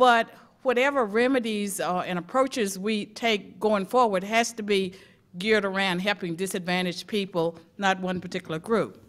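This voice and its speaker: A woman talks at a medium pitch. The recording is very clean, and the background is silent. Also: ordinary pitch variation, moderate pace. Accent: Southern US. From rural US South. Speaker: academic testifying at a civil rights commission. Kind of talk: prepared testimony at a public hearing. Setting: public hearing before a commission.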